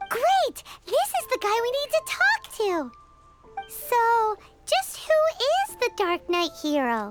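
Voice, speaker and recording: A squeaky, put-on character voice at an extremely high pitch and a fairly slow pace, with music in the background. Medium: video game. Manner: excitable.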